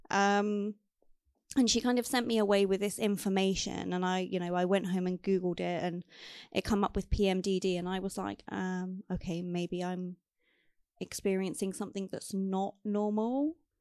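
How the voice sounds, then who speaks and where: In a quiet background, a woman with a normal speaking voice talks at a medium pitch and a moderate pace. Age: 30s. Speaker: menstrual health advocate and patient representative. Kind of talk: interview, personal testimony.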